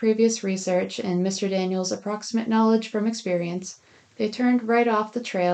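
The voice is an unforced reading voice. It carries through the whole clip.

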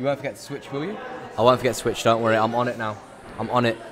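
A man rattles on at a very fast pace. Audible room echo and noticeable background noise surround him. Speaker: esports tournament commentator. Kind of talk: live commentary. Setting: live event venue. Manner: halting.

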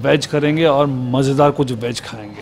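Against light background noise, a man speaks at a fairly slow pace. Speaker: food vlogger. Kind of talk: casual vlog chat. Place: cafe. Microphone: lapel.

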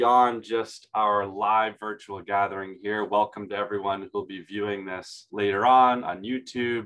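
Speech comes at a fairly slow pace in an unremarkable speaking voice. The intonation stays fairly even. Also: man. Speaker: online event host. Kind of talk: host introduction. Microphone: video call.

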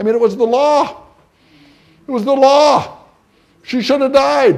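The speaker is male. He keeps a moderate pace. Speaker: priest giving a retreat talk. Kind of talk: sermon. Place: hall. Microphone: lapel.

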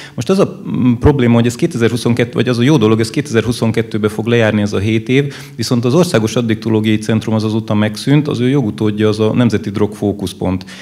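A man's plain, everyday voice at a fairly quick pace with ordinary pitch variation. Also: medium pitch for a man. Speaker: audience member. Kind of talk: audience question at panel discussion. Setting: live event with audience. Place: hall. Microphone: handheld.

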